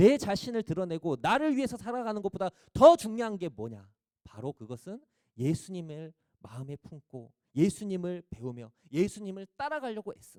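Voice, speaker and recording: Recorded dry and close with no echo, this man's high voice has a dark, mellow tone and swings very widely in pitch. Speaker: preacher. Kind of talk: sermon. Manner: rhetorical questions to the audience.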